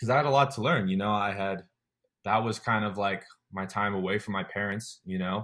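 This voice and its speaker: In a quiet background, a man with a plain, everyday voice talks at a fairly quick pace, his fairly low pitch showing ordinary variation. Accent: General American. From Colorado. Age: 20s. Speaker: army special forces trainee. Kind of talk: casual interview.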